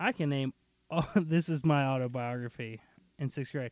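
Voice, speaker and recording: A man with a plain, everyday voice speaks at a moderate pace with a fairly high pitch. His pitch varies in an ordinary way, and the sound is dry and close with no echo. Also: very clean recording, silent background. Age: 30s. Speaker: podcast host. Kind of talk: casual chat.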